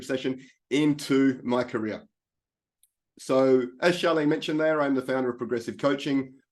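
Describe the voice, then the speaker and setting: At a fairly quick pace, a man talks with an Australian accent. His medium-pitched voice keeps a fairly even intonation. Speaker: life coach. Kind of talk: presentation.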